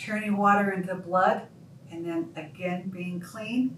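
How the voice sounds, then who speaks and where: A woman speaks very slowly at a medium pitch. The room echo is audible, and background noise is noticeable. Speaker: pastor. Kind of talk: sermon. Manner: stutter.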